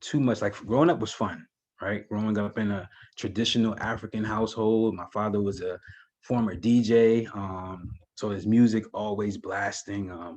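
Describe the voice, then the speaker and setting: Over a quiet background, a man with a New Jersey accent talks at a moderate pace in a fairly low voice with fairly even intonation. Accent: New Jersey American English. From New Jersey, East Orange. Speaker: educator and videographer, university alumnus. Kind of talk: interview conversation. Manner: hesitant, many fillers.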